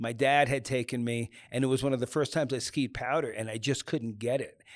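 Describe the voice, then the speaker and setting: A man with an American accent and a plain, everyday voice, medium in pitch, fairly even in intonation, at a fairly quick pace in a very clean recording with a silent background. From US Northeast, New York suburbs. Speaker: ski photographer. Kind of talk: casual interview.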